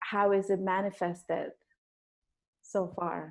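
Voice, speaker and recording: A woman with a non-native accent, medium pitch, and fairly even intonation, over a quiet background. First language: not English. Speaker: interview show host and clown teacher. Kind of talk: interview conversation. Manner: halting, many repeated words.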